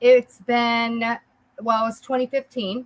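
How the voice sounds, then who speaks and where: The tone is bright and sharp. The sound is dry and close, without echo. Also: woman. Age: 60s. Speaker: network marketer, former lab worker. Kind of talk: casual interview.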